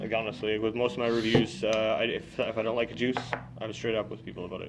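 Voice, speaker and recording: Speaking at a very fast pace with lively intonation, a man is heard over noticeable background noise. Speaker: vape juice reviewer. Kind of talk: product review chat. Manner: hesitant, many fillers.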